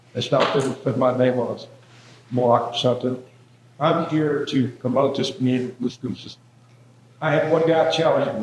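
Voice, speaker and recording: Over noticeable background noise, a man in an American accent speaks at medium pitch with ordinary pitch variation. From Georgia, US South. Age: 70s. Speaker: board member. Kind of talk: public comment.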